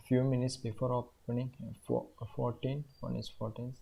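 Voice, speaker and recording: The man's tone is dark and mellow, and somewhat breathy. His pace is moderate. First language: not English. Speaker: day trader, YouTuber. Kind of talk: trading tutorial. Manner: halting, many fillers.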